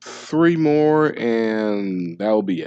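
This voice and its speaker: A man's fairly low voice at a very slow pace, with ordinary pitch variation, a dry, close sound with no echo, and a quiet background. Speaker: gaming YouTuber. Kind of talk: casual gameplay commentary outro. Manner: halting, many fillers.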